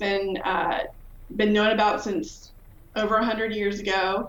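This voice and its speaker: Very slow speech in an American accent, fairly even intonation, audible room echo and noticeable background noise. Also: woman. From Virginia. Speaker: professor of pharmacology, hearing researcher. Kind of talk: interview.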